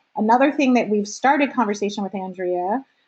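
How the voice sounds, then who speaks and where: A woman speaks with a New Jersey accent. Her intonation stays fairly even. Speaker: meeting facilitator for arts education nonprofit. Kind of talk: online meeting opening remarks.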